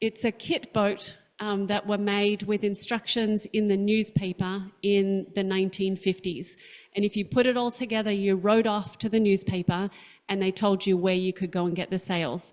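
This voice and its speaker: Speaking with an Australian accent, a woman keeps a moderate pace, fairly even intonation and a medium pitch. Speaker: sailing captain, panelist. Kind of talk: presentation with slides.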